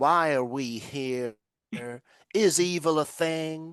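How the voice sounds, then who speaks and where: In a put-on character voice with an American accent, the speaker uses a middle pitch. The pace is very slow. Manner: mocking, pretentious.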